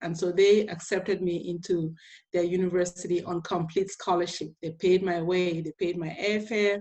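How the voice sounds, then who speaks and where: Speaking with an African accent, the voice moves at a moderate pace with monotone, flat intonation. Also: woman, fairly low pitch for a woman. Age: 50s. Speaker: inspirational speaker and teacher. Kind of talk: motivational talk to students.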